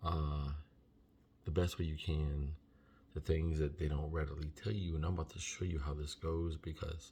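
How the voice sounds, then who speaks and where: A soft-spoken man talks at a fairly quick pace in a very deep, low pitch with monotone, flat intonation. His tone is dark, mellow, and somewhat breathy. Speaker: vlogger researching trucking lease purchase programs. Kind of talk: casual vlog tutorial. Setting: at home.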